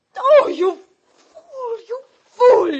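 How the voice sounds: A woman puts on a character voice with an extremely high pitch, big pitch swings, a dark, mellow tone and a very slow pace.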